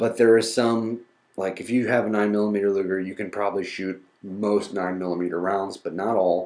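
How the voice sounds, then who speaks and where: A man with an American accent talks at a fairly quick pace. His pitch is fairly low and his intonation monotone and flat. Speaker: podcast host. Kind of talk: educational podcast monologue.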